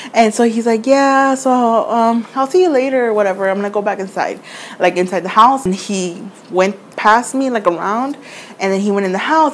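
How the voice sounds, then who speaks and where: Noticeable background noise surrounds this recording. A woman talks at a very fast pace. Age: 20s. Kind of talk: casual storytime to camera.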